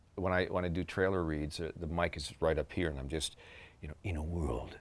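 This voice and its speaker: A man talks at a fairly quick pace in a very deep, low voice with vocal fry and ordinary pitch variation. The recording is very clean, with a silent background. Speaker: voice actor. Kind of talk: interview answer.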